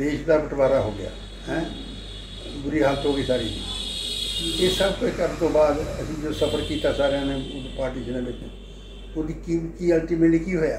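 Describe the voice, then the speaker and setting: A man speaks with a fairly high pitch. There is noticeable background noise. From Punjab, Lyallpur region (now Pakistan). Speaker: agricultural economist. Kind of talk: interview answer. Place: home room. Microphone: phone near.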